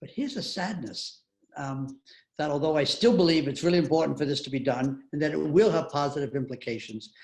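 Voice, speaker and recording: A fairly quick-talking man uses a fairly high, somewhat breathy voice with ordinary pitch variation. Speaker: author and retired university president. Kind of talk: interview answering audience questions.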